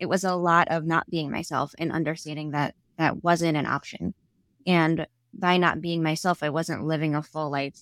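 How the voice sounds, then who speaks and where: A woman with an American accent, fairly low-pitched and fairly quick, in a dry, close sound with no echo on a very clean recording with a silent background. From Staten Island, New York. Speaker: inclusivity speaker and author. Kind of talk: casual interview conversation.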